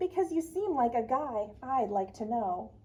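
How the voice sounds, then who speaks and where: Using a put-on character voice, a woman speaks in a high pitch at a moderate pace. Light background noise is present. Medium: read story.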